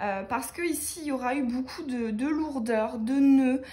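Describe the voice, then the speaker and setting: This woman's voice is high in pitch and moves with ordinary pitch variation. She talks at a very slow pace, and audible room echo surrounds her. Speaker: tarot card reader. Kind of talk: tarot reading for viewers. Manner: many hesitations.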